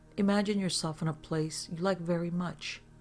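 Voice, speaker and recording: With music playing in the background, a woman speaks at a moderate pace in a fairly low voice with ordinary pitch variation. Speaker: hypnotherapist. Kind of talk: guided hypnosis session.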